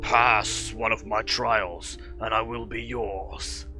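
A man puts on a raspy character voice at a very deep, low pitch. He speaks at a very slow pace over clear music in the background. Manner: ominous, challenging.

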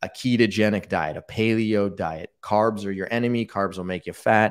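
A man at a moderate pace, fairly even intonation, quiet background. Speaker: diabetes researcher and educator. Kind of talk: casual interview, live Q&A. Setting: online livestream. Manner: explanatory, conversational. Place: home room. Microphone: studio mic.

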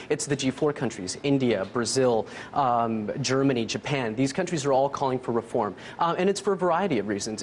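A man talks at a fairly quick pace with ordinary pitch variation. Light background noise runs underneath. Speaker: news correspondent. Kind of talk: news analysis commentary. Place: studio.

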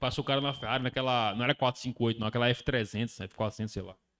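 Against a quiet background, a man talks at a fairly quick pace in an animated tone. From Brazil. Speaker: day trader and trading course instructor. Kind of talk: casual group chat on livestream. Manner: slangy, casual and animated. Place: home room. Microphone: handheld.

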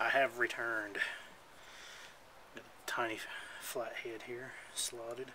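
Mumbling in a flat monotone at a fairly slow pace, a man leaves long, frequent pauses, his loudness swinging widely amid noticeable background noise. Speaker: hobby scooter mechanic. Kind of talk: casual DIY repair tutorial. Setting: outdoors on a porch. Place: garden.

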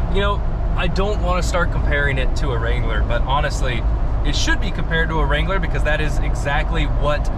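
Loud background noise behind a man's dry voice with no echo. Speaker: off-road vehicle vlogger. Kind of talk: casual vlog chat. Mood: upbeat, enthusiastic. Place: car. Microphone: phone near.

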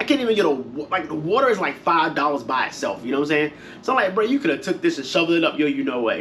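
Man talking at a very fast pace with very wide pitch swings, over light background noise. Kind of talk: casual vlog chat. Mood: frustrated, venting. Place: home room. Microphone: camera far.

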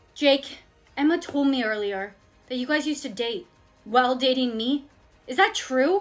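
A woman with a high voice speaks at a moderate pace. Faint music plays in the background. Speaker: skit creator playing characters. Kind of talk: acted comedy skit dialogue. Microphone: phone near.

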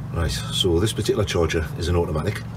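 Against noticeable background noise, a man speaks in a very deep, low pitch with ordinary pitch variation. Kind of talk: tutorial. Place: garden. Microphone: phone near.

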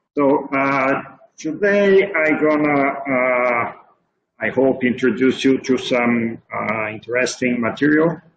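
Speaking very slowly amid noticeable background noise, a man keeps his pitch variation ordinary. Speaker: physics professor giving seminar. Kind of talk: lecture. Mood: friendly, lightly humorous. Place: home room. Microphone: webcam.

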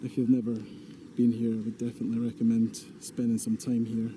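A man talks while noticeable noise sits in the background. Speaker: vlogger. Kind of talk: casual vlog chat. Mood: relaxed, fond. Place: waterside. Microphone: phone near.

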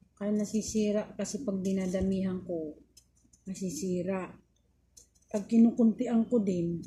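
A woman's somewhat breathy voice, dark and mellow in tone, with fairly even intonation at a fairly slow pace. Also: medium pitch for a woman. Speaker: vlogger. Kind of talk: casual vlog. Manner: halting, many fillers.

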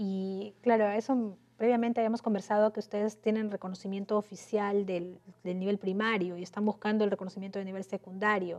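Speaking at a fairly quick pace, a woman leaves hardly any pauses. Her intonation is monotone and flat. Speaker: interviewer, radio/TV host. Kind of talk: interview. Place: studio. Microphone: lapel.

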